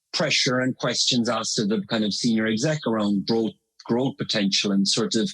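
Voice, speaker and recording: At a fairly quick pace, a man with an Irish accent speaks at a medium pitch with ordinary pitch variation. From Ireland. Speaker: marketing consultant. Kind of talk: podcast interview.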